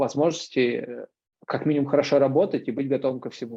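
A fairly high-pitched male voice with a dark, mellow tone, at a moderate pace. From Moscow, Russia. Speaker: extreme sports athlete and camera operator. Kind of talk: casual interview.

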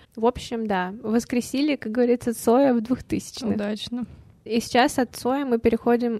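A woman speaks at a moderate pace with monotone, flat intonation and a fairly high pitch. Her tone is dark and mellow, and the sound is dry and close with no echo. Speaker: podcast co-host. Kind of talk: casual chat.

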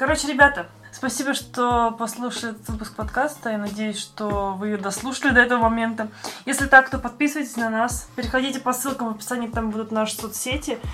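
A woman talks at a very fast pace in a bright, sharp tone. Her pitch is fairly high, her intonation fairly even. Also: big swings in loudness. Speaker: podcast host. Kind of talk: casual chat.

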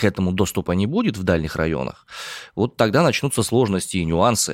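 A man speaks in an animated tone. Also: dry, close sound with no echo. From Omsk, Siberia. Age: 30s. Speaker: podcast news host. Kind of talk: casual news discussion. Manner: joking, animated.

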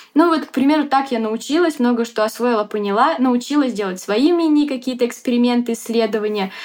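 Over noticeable background noise, a woman with a high pitch talks at a fairly quick pace with hardly any pauses and ordinary pitch variation. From Siberia, Russia. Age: 20s. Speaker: marketing agency owner. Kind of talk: casual interview.

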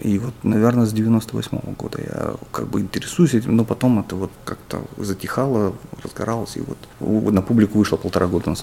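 Against noticeable background noise, a man speaks at a moderate pace, his pitch fairly low with ordinary variation. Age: 40s. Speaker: urbanism blogger. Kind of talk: interview.

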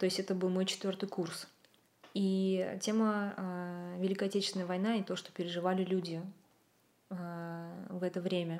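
In a flat monotone, a woman talks at a medium pitch. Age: 30s. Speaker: video content producer. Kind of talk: casual chat. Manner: halting.

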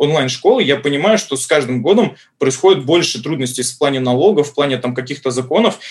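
A man's somewhat breathy voice, fairly high in pitch, with ordinary pitch variation and a fairly quick pace. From Saint Petersburg, Russia. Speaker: Spanish language school head. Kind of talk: casual interview.

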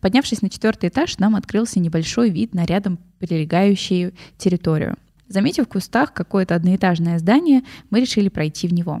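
A woman speaks at a medium pitch in a dark, mellow tone. Her loudness stays very even. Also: ordinary pitch variation, fairly quick pace. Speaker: podcast host. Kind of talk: casual chat.

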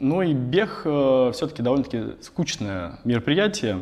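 A medium-pitched male voice with very wide pitch swings. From Russia, Tambov. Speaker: tech company CEO. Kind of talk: interview. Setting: office. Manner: halting.

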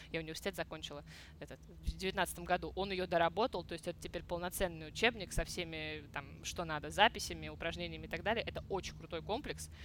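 Talking at a very fast pace, a woman shows big swings in loudness. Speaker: Chinese teacher and song translator blogger. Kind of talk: casual interview chat.

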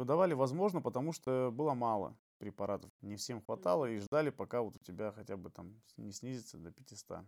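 With very wide pitch swings, a man at a medium pitch talks at a fairly quick pace. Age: 30s. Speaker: HIV awareness activist. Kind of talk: podcast interview.

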